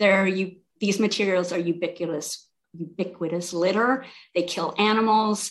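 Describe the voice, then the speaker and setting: Speaking with an American accent, a woman talks at a moderate pace and medium pitch with ordinary pitch variation. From South Carolina coast. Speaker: city government administrator. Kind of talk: interview. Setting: video call. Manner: halting, many repeated words.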